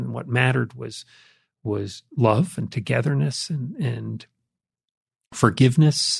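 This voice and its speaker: The voice is somewhat breathy. It belongs to a man talking at a medium pitch. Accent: American. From US Northeast (Jersey Shore, Connecticut). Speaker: author and business executive. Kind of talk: testimony.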